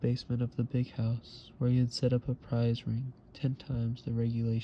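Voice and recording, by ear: The text is read aloud in a natural voice.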